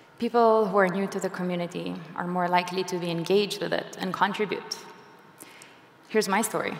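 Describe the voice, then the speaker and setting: A woman at medium pitch speaks at a fairly quick pace with monotone, flat intonation. Noticeable background noise and audible room echo fill the recording. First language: not English. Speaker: software engineer and conference speaker. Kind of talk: conference talk. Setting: stage with audience.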